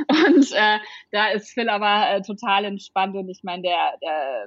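A woman's plain, everyday voice, fairly slow and with ordinary pitch variation. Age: 30s. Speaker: startup founder. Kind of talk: interview.

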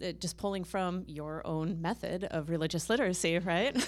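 Speaking at a moderate pace, this is a plain, everyday voice. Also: woman. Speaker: religion and peace scholar. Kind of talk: panel discussion. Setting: stage with audience.

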